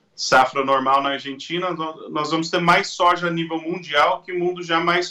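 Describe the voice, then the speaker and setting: A man speaks with a high pitch and a bright, sharp tone. His pace is moderate. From Brazil, Mato Grosso (grew up from age 7). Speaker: agricultural market analyst. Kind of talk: interview. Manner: hesitant, with repetitions.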